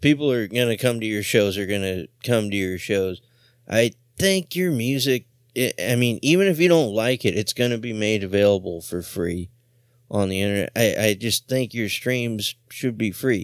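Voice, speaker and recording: This man has an ordinary speaking voice at medium pitch, moving at a moderate pace. His intonation is lively, and his loudness swings a lot. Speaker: radio host. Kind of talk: radio DJ patter, casual punk radio banter with profanity. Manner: relaxed, jokey, laughing.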